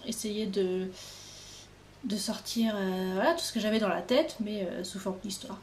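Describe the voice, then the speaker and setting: A woman speaks fairly slowly at a medium pitch, with ordinary pitch variation and long, frequent pauses. Noticeable background noise and audible room echo surround her voice. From Normandy, France. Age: 20s. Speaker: author. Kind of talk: casual interview by phone.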